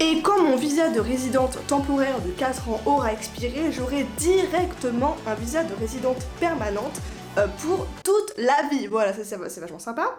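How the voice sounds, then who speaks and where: Music plays behind a woman whose high voice swings very widely in pitch. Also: moderate pace. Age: 20s. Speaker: freelance online communications worker. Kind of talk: casual talk to camera.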